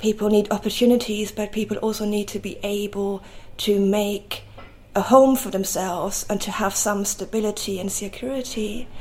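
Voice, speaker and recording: A woman speaks at a moderate pace with a medium pitch and a flat, monotone delivery. Background noise is noticeable throughout. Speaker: photographer and oral historian. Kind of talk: interview. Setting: artist's studio above a market.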